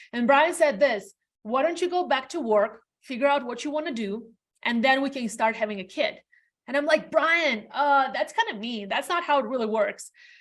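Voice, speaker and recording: A woman's high-pitched voice with a non-native accent and lively intonation. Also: moderate pace. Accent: foreign. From Latvia. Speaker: realtor. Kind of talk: interview.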